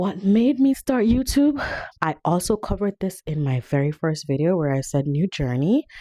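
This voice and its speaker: Dry and close with no echo, the recording features a woman with a dark, mellow tone at a medium pitch. She speaks at a moderate pace with very wide pitch swings. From Jamaica. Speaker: vlogger. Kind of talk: casual chat.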